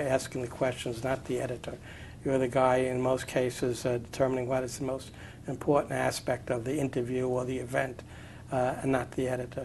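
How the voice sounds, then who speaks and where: Here a man talks at a moderate pace. His pitch is medium. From New York City (Brooklyn). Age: 60s. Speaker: retired journalist, newspaper editor. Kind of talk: oral history interview. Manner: halting, many fillers.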